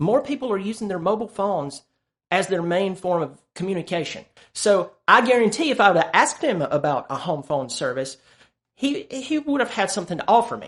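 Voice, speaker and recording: Against a quiet background, a man talks at a fairly quick pace. His high pitch moves in very wide swings. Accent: Southern US. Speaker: sales coach and YouTuber. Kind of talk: tutorial.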